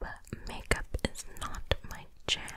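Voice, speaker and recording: A soft-spoken woman whispering over loud background noise. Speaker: makeup video creator. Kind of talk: casual vlog chat. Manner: soft ASMR whisper, chatty. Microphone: studio mic.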